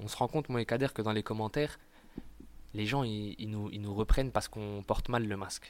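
Speaking at a fairly quick pace with long, frequent pauses, a man uses fairly even intonation and a fairly low pitch, with big swings in loudness. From eastern France, Montbéliard. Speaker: stand-up comedian. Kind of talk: casual interview. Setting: in Marseille. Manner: halting, many repetitions.

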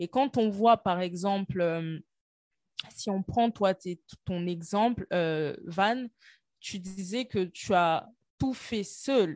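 At a very slow pace with long, frequent pauses, a woman speaks at a medium pitch with ordinary pitch variation, the sound dry and close with no echo against a quiet background. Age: 30s. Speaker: internal auditor and entrepreneur. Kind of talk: casual interview.

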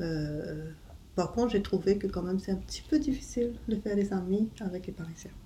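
A woman speaks at a moderate pace in a dark, mellow tone, medium in pitch with ordinary variation and some vocal fry. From Mauritius, part of childhood in England. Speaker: mother telling her life story. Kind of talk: family life-story interview. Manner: hesitant, many fillers.

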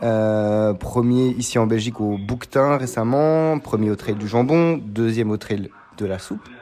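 A man with a plain, everyday voice talks at a fairly slow pace, his medium pitch showing ordinary variation. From Belgium. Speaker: podcast host, amateur trail runner. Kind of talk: interview. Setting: café.

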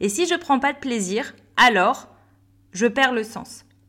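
A woman's very slow, upbeat voice with lively intonation, in a very clean recording against a silent background. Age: 30s. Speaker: business coach and podcast host. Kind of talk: solo podcast monologue.

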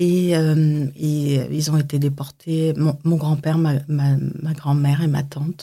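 A woman speaks very slowly in a very deep, low voice that is dark, mellow and somewhat breathy. Her intonation is monotone and flat, her loudness very even, with hardly any pauses. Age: 50s. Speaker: makeup artist. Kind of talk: testimony; tutorial. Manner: halting.

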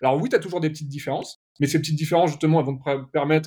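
A man's somewhat breathy, fairly high voice with a dark, mellow tone and fairly even intonation. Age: 30s. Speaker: video production agency owner. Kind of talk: casual interview.

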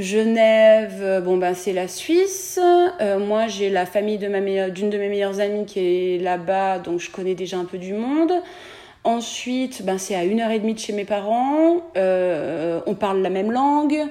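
A woman with an unremarkable speaking voice talks at a fairly slow pace. Her pitch is medium, with ordinary variation. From France, Beaujolais area. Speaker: dentist. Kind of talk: interview.

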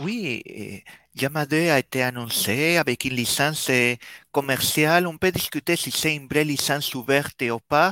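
At a fairly slow pace, a man with a slight Spanish accent speaks in a fairly high pitch and a bright, sharp tone, with ordinary pitch variation and a dry, close sound with no echo. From Spain. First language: Spanish (speaking French). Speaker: developer relations team manager. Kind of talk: casual chat.

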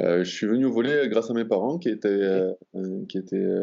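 Talking at a fairly quick pace, a man has a fairly low pitch. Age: 30s. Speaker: former professional volleyball player. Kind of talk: interview. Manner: halting.

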